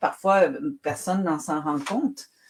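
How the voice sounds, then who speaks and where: At a medium pitch, a woman speaks at a moderate pace with very wide pitch swings. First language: Spanish (speaking French). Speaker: writer. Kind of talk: interview.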